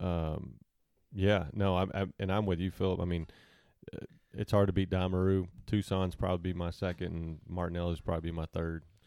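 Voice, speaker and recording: A man with an Arkansas accent speaks at a fairly quick pace in a very deep, low voice with a dark, mellow tone. His intonation is monotone and flat, and the recording is very clean with a silent background. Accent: southern US (Arkansas). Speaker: podcast guest. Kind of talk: casual chat.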